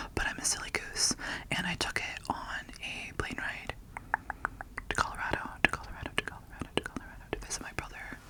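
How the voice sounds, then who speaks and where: Whispering at a fairly quick pace, a woman is heard against noticeable background noise. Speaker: ASMR creator. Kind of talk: ASMR book haul talk to camera. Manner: whispered.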